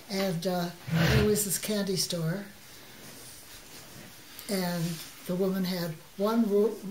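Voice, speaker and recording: A woman's very slow, monotone, flat delivery in a medium pitch with an American accent, long, frequent pauses and noticeable background noise. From Chicago. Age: 80s+. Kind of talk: interview answer.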